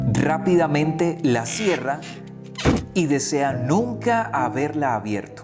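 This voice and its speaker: Music plays in the background as a man speaks at a very slow pace, his fairly high pitch carrying lively intonation. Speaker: radio host. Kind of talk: children's story reading.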